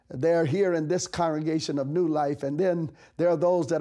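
A man with a fairly high pitch and a dark, mellow tone speaks at a moderate pace with fairly even intonation. The background is quiet. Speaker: bishop. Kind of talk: sermon, devotional message to camera; fervent prayer, petitioning aloud to God. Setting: office, recorded video message. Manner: earnest, encouraging, preacherly; impassioned, rising fervent pleading tone. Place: studio. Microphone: lapel.

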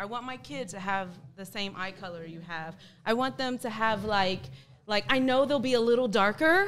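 Over light background noise, a woman with an American accent speaks at a moderate pace and a fairly high pitch, her intonation lively and her loudness swinging widely. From United States. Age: 20s. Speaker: teacher, panel guest. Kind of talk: casual debate. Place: studio. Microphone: studio mic.

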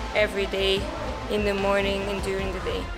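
Clear music can be heard behind the voice. The speaker is a woman. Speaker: travel vlogger. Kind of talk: casual vlog chat. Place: hall.

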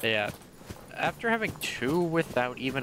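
Moderate pace and ordinary pitch variation in a man's speech. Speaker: video game streamer. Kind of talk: casual gaming livestream commentary.

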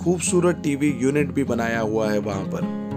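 A man talks at a fairly slow pace while clear music plays in the background. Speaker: presenter. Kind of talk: property tour commentary. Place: home room. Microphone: phone near.

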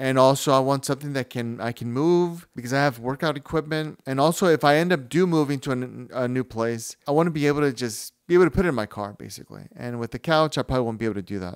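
A very fast pace with hardly any pauses, ordinary pitch variation and a quiet background. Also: man. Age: 40s. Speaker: new YouTuber. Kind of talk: casual talk to camera. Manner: rambling, hesitant. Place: home room. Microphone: handheld.

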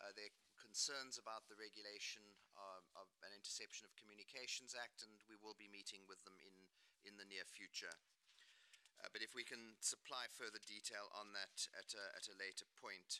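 Monotone and flat, a man with a fairly low pitch and a bright, sharp tone talks at a moderate pace. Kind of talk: formal delegation answer. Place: meeting room. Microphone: podium.

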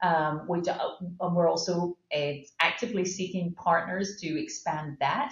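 Against a quiet background, a woman speaks at a fairly low pitch. Her voice is somewhat breathy, with audible room echo. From Scotland. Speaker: pharmaceutical company CEO; guest. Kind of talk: interview. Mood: calm, explanatory. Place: office. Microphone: webcam.

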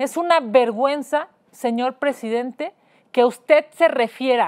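Against a quiet background, a woman with a high voice talks at a fairly slow pace with ordinary pitch variation. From Mexico. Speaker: host and politician. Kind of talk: rally or protest speech, denouncing president. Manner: indignant, forceful, declamatory. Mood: indignant, emphatic. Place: studio.

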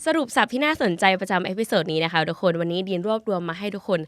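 A woman with a plain, everyday voice speaks at a medium pitch with lively intonation. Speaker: recent university graduate, language talent. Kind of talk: scripted podcast monologue, bilingual Thai-English.

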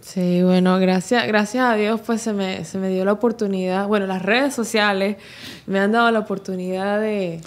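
In a plain, everyday voice, a woman speaks at a moderate pace. Her pitch is medium and her intonation fairly even. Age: 20s. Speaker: social media dancer and content creator; content creator. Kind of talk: interview. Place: studio. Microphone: studio mic.

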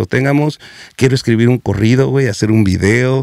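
A man at medium pitch, with a dry sound with no echo and a quiet background. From US West Coast (South Central Los Angeles); Los Angeles. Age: 40s. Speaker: comedian; comedian guest. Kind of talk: casual chat. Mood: joking, candid, slangy. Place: studio. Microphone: studio mic.

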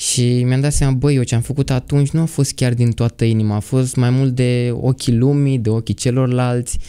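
A man with a dark, mellow tone and medium pitch speaks in a flat monotone, keeping his loudness very even with hardly any pauses. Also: moderate pace. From Romania, Argeș county (Rucăr). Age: 20s. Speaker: architecture student. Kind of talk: testimony.

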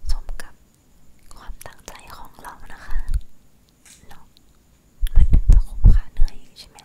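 A whispering woman with big swings in loudness. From Thailand. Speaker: ASMR creator. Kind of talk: ASMR whispering, casual talk to camera. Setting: studio, close microphone recording. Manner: whispered, soft-spoken. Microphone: studio mic.

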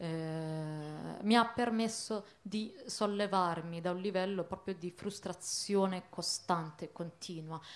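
At a medium pitch, a woman speaks at a very slow pace. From Italy, Bologna; Italy. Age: young. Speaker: activist; speaker. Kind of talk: panel discussion. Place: stage. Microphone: handheld.

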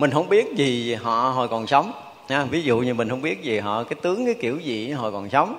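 His intonation moves in a lively way. The man keeps a moderate pace. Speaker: monk teacher. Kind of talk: sermon. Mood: warm, smiling. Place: hall.

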